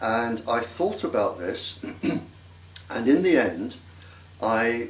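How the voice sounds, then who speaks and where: A man speaks at a very slow pace with long, frequent pauses, audible room echo and noticeable background noise. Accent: English. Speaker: microwave weapons expert. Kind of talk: interview.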